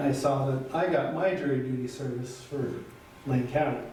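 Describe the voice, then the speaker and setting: Amid noticeable background noise and audible room echo, a man talks fairly slowly at a fairly high pitch with fairly even intonation. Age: 70s. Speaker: city councilor. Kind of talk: council meeting statement. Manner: halting.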